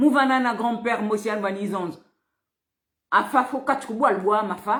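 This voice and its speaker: Fairly high in pitch, a woman speaks in a somewhat breathy voice. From Republic of the Congo, Pointe-Noire. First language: Vili (speaking French). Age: 50s. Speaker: political activist.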